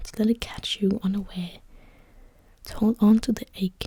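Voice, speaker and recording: A soft-spoken woman whispers at a moderate pace. Her voice is somewhat breathy. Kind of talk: soft-spoken story reading, literary fiction. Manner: soft-spoken, whispered.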